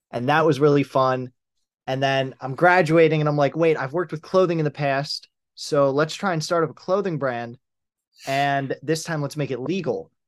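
A man with an American accent speaks in an ordinary speaking voice against a quiet background. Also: fairly high pitch for a man, fairly even intonation, moderate pace. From US Northeast, Pennsylvania near Philadelphia. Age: 20s. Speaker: clothing brand founder. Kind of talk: interview.

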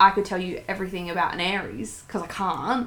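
The tone is bright and sharp, with vocal fry. Delivery runs at a moderate pace with fairly even intonation. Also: woman. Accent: Australian. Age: 20s. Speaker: podcast co-host. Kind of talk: casual chat. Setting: home lounge room.

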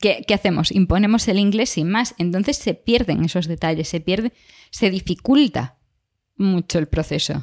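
Speaking at a moderate pace, a woman with an unremarkable speaking voice and medium pitch uses lively intonation, captured on a very clean recording with a silent background and a dry, close sound with no echo. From Galicia, Spain. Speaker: podcast co-host, biologist. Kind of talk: casual chat.

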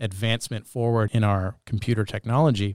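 A man with a Canadian accent uses a plain, everyday voice at a medium pitch with fairly even intonation, in a very clean, dry recording that is close with no echo and a silent background. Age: 30s. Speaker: podcast host. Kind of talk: casual interview chat. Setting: studio.

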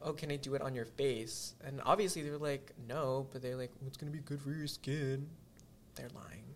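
A man with a fairly high voice speaks at a moderate pace, sounding somewhat breathy. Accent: American. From Indonesia, raised in the US. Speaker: podcast guest. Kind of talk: casual chat. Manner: animated.

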